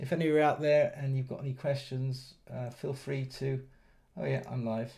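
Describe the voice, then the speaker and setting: The voice has a dark, mellow tone and is somewhat breathy. Its pace is moderate and its intonation fairly even. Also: man, medium pitch for a man. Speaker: trading educator streaming live. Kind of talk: live trading stream commentary. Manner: halting, many fillers and repetitions.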